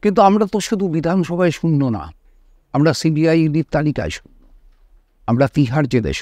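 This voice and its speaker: The voice has a dark, mellow tone, lively intonation and big swings in loudness, in a dry, close sound with no echo. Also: man, fairly high pitch for a man. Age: 60s. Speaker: politician. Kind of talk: interview.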